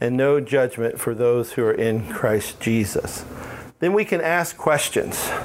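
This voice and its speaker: A man with an American accent talks at a fairly slow pace in a medium pitch, with lively intonation and very even loudness. Noticeable background noise and audible room echo surround him. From Alabama. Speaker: pastor and residential ministry director. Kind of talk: conference workshop talk. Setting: conference room with audience.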